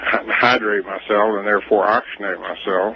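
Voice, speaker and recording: Noticeable background noise runs under this voice. The speaker is a man with fairly low pitch. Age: 60s. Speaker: inventor. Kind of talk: radio interview. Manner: halting, many fillers.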